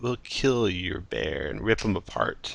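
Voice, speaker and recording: Against a quiet background, a man does a put-on character voice at medium pitch and a fairly slow pace. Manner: mocking, taunting.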